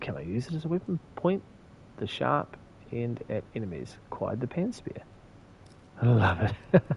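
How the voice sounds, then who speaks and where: A man in a New Zealand accent mumbles at a moderate pace. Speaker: game streamer. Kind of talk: casual gaming livestream chat. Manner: mumbling.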